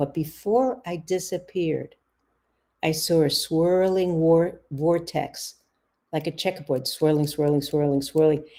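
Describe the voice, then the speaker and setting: A woman speaks with a New York accent in a very deep, low pitch and a dark, mellow tone. Her intonation is fairly even, her pace moderate, and the recording very clean with a silent background. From US, New York City (the Bronx). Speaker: author and psychotherapist. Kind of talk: interview, personal storytelling.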